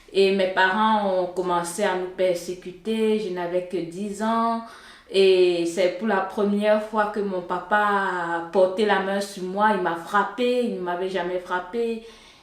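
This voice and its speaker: In a room with audible echo and noticeable background noise, a woman speaks at a very slow pace in a medium pitch with monotone, flat intonation. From Cameroon, Yaoundé. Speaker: software engineer, church member. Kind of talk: testimony. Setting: studio. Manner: hesitant, with filler sounds.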